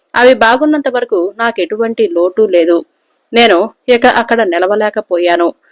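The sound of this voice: Lively intonation from an unforced reading voice, set against a quiet background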